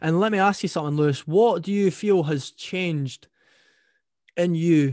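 A man talks at a moderate pace with ordinary pitch variation and a plain, everyday voice. The sound is dry and close with no echo, over a quiet background. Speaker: podcaster. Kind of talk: casual interview chat.

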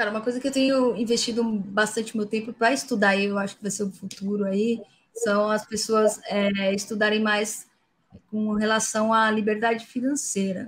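At a moderate pace, a woman speaks in a flat monotone that sounds somewhat breathy. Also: fairly high pitch for a woman. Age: 30s. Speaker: data engineering lead. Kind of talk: casual interview. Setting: online live stream.

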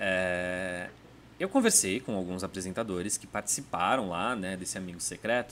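His voice sits at a fairly low pitch for a man. He keeps a moderate pace and fairly even intonation. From interior of São Paulo state. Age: 30s. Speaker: gossip journalist. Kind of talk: casual interview chat. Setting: studio.

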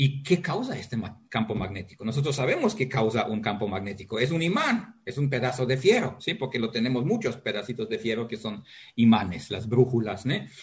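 A man with a medium pitch talks at a fairly quick pace with hardly any pauses. His voice is somewhat breathy and his intonation is lively. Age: 50s. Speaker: geology professor. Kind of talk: interview. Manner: halting.

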